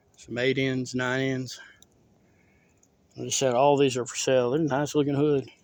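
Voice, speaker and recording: A man with a Southern US accent speaks at a moderate pace with long, frequent pauses. His intonation stays flat and monotone. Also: medium pitch for a man. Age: 30s. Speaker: rural vlogger. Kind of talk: casual walkthrough narration.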